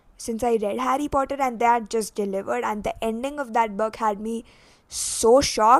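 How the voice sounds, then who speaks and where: A woman with a non-native accent, fairly even intonation and a moderate pace. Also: fairly high pitch for a woman. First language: not English. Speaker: booktuber. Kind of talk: casual vlog chat.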